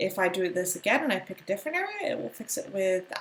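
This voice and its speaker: A woman with an American accent and medium pitch, very fast pace, noticeable background noise behind her. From United States. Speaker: art or design teacher. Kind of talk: tutorial. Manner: casual, with many fillers.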